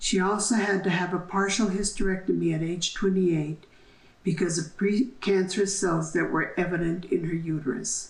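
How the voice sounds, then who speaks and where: In an American accent, a somewhat breathy voice keeps fairly even intonation at a moderate pace, with audible room echo. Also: woman, medium pitch for a woman. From New Mexico, US Southwest. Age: 70s. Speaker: downwinder testimony giver. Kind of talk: testimony. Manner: formal.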